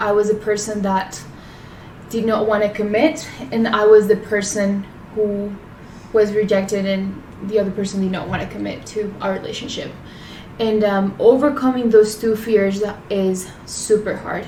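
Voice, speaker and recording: With a Spanish accent, a woman speaks at a medium pitch and a moderate pace, using a monotone, flat intonation and long, frequent pauses, amid noticeable background noise and audible room echo. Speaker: podcast co-host. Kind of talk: casual chat.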